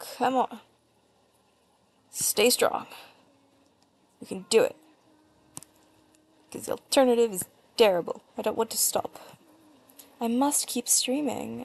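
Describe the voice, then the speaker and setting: A woman with an American accent, fairly slow pace, long and frequent pauses, and big swings in loudness. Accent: often mistaken for American, slightly British. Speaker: artist streamer. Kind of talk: casual livestream chat while drawing. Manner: rambling, chatty.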